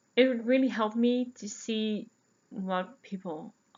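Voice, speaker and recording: Speaking with a Dutch accent, a woman has a fairly high pitch. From Netherlands. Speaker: podcast host, knitter and yarn dyer. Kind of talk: casual podcast monologue. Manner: chatty with many fillers.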